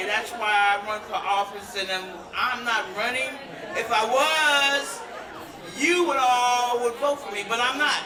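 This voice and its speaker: Fairly slow speech against crowd noise in the background. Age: 60s. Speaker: stand-in for a candidate. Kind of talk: candidate forum answer. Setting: stage with audience.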